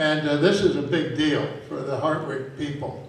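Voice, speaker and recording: Through noticeable background noise and audible room echo, a man with an American accent speaks at a fairly slow pace. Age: 80s+. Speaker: retired soccer coach. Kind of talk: speech to an audience. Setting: stage with audience at a convention. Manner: halting, with repetitions.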